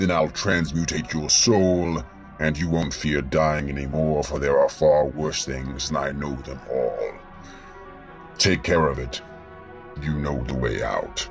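Over clear background music, a man does a booming put-on character voice at a fairly slow pace. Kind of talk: gothic horror villain. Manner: menacing, imperious.

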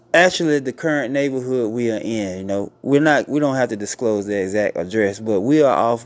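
A man speaks at a medium pitch and a moderate pace. His pitch variation is ordinary. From US South, Georgia. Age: 40s. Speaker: online show host. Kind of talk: casual interview. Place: home room. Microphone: studio mic.

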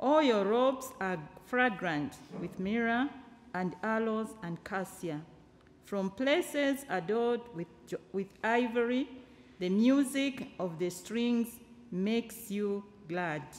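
Lively in intonation, a woman speaks very slowly with long, frequent pauses. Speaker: scripture reader. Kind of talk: scripture reading. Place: church.

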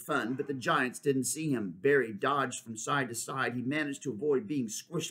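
The pitch moves with ordinary variation. It comes from a natural reading voice.

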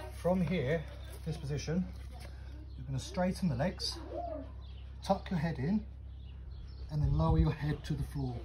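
Over light background noise, a man speaks with long, frequent pauses. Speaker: fitness trainer. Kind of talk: tutorial. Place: garden. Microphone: camera far.

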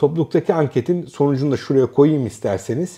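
A man's dark, mellow voice, fairly high in pitch, against a quiet background. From Turkey. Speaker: academic and educational youtuber; educational youtuber. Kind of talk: casual educational monologue. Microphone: lapel.

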